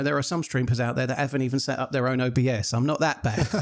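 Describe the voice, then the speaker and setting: A very fast voice in an English accent comes through noticeable background noise. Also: man. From England. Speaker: streamer. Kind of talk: casual chat. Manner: fluent, moderate pace. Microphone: close USB condenser mic with pop filter.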